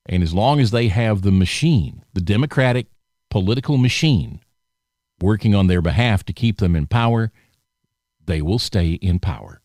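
In a Southern US accent, a fairly low-voiced man speaks at a moderate pace with lively intonation and long, frequent pauses, in a dry, close recording with no echo that is very clean against a silent background. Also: very even loudness. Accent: Southern American. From US South (Alabama). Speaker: podcast host. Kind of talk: political commentary monologue. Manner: casual, conversational.

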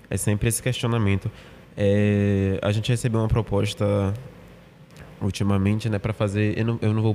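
With a dark, mellow tone and fairly low pitch, this man talks at a moderate pace in a monotone, flat way, keeping his loudness very even and taking long, frequent pauses. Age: 20s. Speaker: theatre actor. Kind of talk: casual interview.

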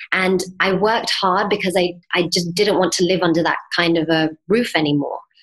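This woman has a plain, everyday voice. Her pitch is fairly low, and her intonation is fairly even. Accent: American. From England, then Miami, Florida from age 11. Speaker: mindset coach and yoga teacher. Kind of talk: interview.

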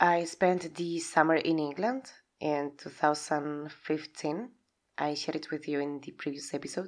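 A woman with a Spanish accent and a very deep, low pitch, at a moderate pace. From Spain. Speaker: podcast host and aspiring life coach. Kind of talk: solo podcast monologue. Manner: loud; animated.

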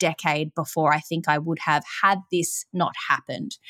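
A woman with a fairly low voice speaks at a moderate pace with fairly even intonation, recorded very cleanly against a silent background. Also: dry, close sound with no echo. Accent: Australian. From Melbourne, Australia. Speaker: yoga teacher and recovery podcaster. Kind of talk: interview, personal testimony. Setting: call.

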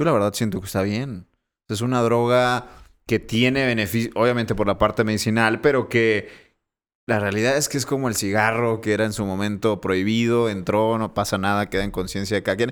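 A man's ordinary speaking voice at medium pitch, fairly even in intonation and fairly quick in pace, on a very clean recording with a silent background. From Monterrey, Mexico. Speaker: podcast co-host, political commentator. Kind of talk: casual chat. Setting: studio, filmed for video.

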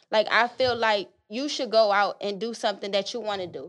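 Against a quiet background, a woman speaks at a moderate pace with a fairly high pitch and fairly even intonation. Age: 20s. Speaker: podcast guest, host's friend. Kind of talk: casual chat.

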